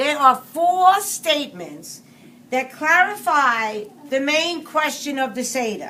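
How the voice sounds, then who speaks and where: Over noticeable background noise, a woman with a high pitch uses a raised, projected voice and lively intonation at a very slow pace. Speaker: Seder leader. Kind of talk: explaining Passover to a group.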